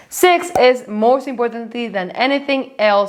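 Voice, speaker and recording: Over noticeable background noise, a woman talks with a non-native accent. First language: Spanish. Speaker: finance YouTuber. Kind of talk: vlog-style talk to camera.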